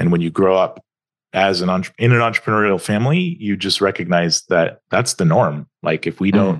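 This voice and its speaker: An American-accented man with an unremarkable speaking voice, fairly low in pitch, talks at a fairly quick pace with ordinary pitch variation in a dry, close sound with no echo. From US South, Atlanta, Georgia. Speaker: startup founder. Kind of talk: podcast interview.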